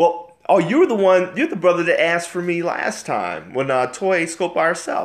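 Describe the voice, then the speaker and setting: A man speaks loudly in an animated tone with lively intonation. His pitch is high and his pace fairly quick. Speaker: marriage livestream host. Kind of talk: live stream chat reading viewer comments.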